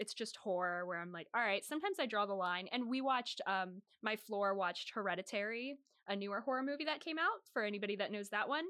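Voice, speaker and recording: A woman with an American accent speaks very fast at a fairly high pitch, her tone bright and sharp and her intonation lively. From Northern Virginia. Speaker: student podcast co-host. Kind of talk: casual chat.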